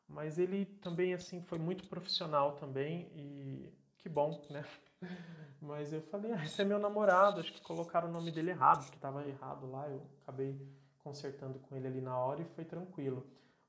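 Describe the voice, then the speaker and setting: Speaking at a moderate pace, a man with a plain, everyday voice and fairly high pitch makes big swings in loudness. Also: ordinary pitch variation. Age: 30s. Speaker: podcaster. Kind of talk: solo monologue.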